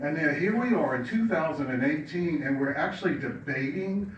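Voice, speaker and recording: Lively intonation marks this man's speech at a moderate pace. Audible room echo and noticeable background noise surround him. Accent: American. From Virginia. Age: 60s. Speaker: LGBT community center director. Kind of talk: public testimony at legislative hearing.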